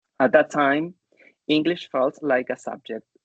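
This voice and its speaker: The speaker has a Chilean Spanish accent and a fairly slow pace. The sound is dry and close with no echo. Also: man. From southern Chile. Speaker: English teacher educator and researcher. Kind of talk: conference talk.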